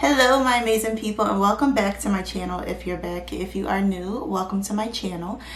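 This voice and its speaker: A soft-spoken woman at a fairly quick pace with hardly any pauses, amid audible room echo and noticeable background noise. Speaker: true crime YouTuber. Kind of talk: casual narration. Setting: quiet borrowed room.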